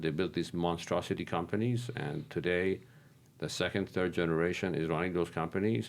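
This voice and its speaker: The speaker uses vocal fry and lively intonation at a moderate pace. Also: man. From Iran. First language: Persian. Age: 60s. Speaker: real estate investor. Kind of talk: casual interview. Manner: halting, many fillers and repeats.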